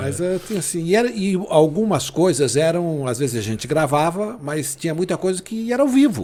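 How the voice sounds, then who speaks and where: With a dark, mellow tone, a man talks at a moderate pace through very wide pitch swings. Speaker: sports radio announcer. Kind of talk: interview answer, casual storytelling.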